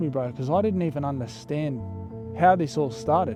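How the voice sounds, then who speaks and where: With an Australian accent, a man talks at a moderate pace in a fairly high pitch, using very wide pitch swings. Music plays in the background. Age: young. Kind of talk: storytime narration to camera. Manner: casual, profane.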